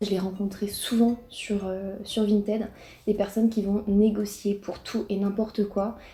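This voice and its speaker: A somewhat breathy woman's voice, dark and mellow in tone, at medium pitch with monotone, flat intonation and a fairly slow pace. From Brittany, France. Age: 20s. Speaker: YouTuber. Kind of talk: casual reaction vlog. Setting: home, alone in living room.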